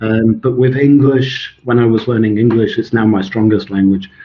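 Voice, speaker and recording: A man speaks with a Swedish accent at a medium pitch. His intonation stays fairly even. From Scotland. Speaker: author and language expert. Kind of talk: interview.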